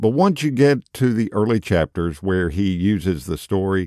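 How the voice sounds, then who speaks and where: A man with a plain, everyday voice, fairly low in pitch, with lively intonation and a fairly slow pace, in a dry, close sound with no echo and a very clean recording with a silent background. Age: 50s. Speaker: podcast host and lay preacher. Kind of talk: casual podcast talk and book review; sermon.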